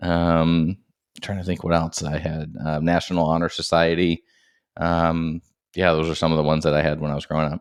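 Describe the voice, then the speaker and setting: Very deep, low male voice, monotone and flat, moving at a fairly quick pace. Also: quiet background. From Maine, US. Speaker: dad and entrepreneur, former golf professional. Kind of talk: casual chat.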